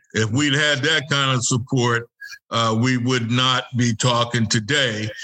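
Someone talks at a very slow pace with an American accent. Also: man. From US South, North Carolina. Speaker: former college football player. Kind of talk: interview. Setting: video call.

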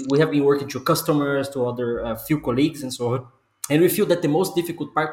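A man speaks with a Portuguese accent at a fairly high pitch. His voice is somewhat breathy, with ordinary pitch variation. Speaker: podcast host. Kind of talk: casual chat.

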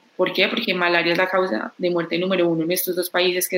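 There is noticeable background noise while this woman talks at a medium pitch. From Colombia, Pereira. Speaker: tech startup co-founder. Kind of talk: interview.

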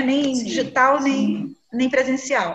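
Her pace is fairly slow. This woman uses ordinary pitch variation. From Brazil, Salvador (Bahia). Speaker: journalist and library director. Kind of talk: interview. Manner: hesitant, many fillers.

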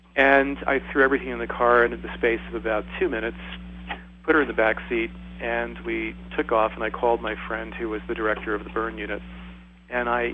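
Speaking fairly quickly, a man is heard with noticeable background noise behind him. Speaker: medical doctor. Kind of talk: panel discussion.

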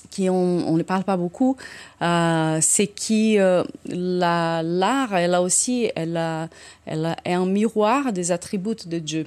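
A woman at a medium pitch and a very slow pace, on a very clean recording with a silent background. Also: ordinary pitch variation. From Brazil, São Paulo. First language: Portuguese (speaking French). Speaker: orchestra conductor. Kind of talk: casual chat.

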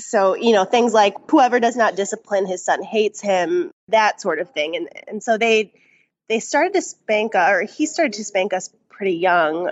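With lively intonation and a moderate pace, this is an unremarkable speaking voice. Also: woman, fairly high pitch for a woman. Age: 20s. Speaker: caller. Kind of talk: testimony. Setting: video call.

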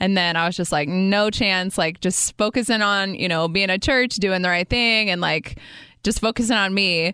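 At a moderate pace, a woman speaks at medium pitch with ordinary pitch variation, a bright, sharp tone and very even loudness. The background is quiet. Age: 30s. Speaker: faith podcast host. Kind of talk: casual chat.

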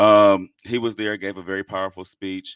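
In an animated tone, a man with a fairly low pitch speaks at a moderate pace. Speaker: podcast co-host. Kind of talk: casual chat. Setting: studio.

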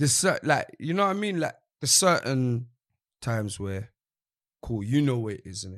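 A man with a London accent at a medium pitch and moderate pace, with very wide pitch swings, big swings in loudness, long, frequent pauses, and a very clean recording with a silent background. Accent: London Multicultural English. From East London. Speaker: drill rapper. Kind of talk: casual chat.

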